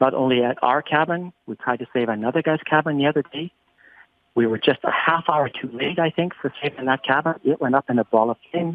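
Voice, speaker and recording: Man with a Canadian Prairie accent, at a fairly quick pace with ordinary pitch variation. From Northern Saskatchewan, Canada. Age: 60s. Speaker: business owner, wildfire victim. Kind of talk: interview. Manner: halting with repetitions.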